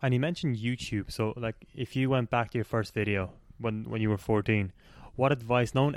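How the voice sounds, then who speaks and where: In a very clean recording with a silent background, an unremarkable speaking voice moves at a fairly quick pace with fairly even intonation. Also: man. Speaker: podcast host. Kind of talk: casual interview.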